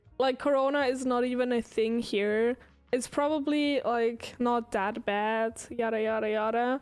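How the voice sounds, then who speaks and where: On a very clean recording with a silent background, a woman speaks with a high pitch at a fairly slow pace, with very even loudness and fairly even intonation. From Switzerland. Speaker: streamer. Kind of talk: casual chat. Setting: live stream.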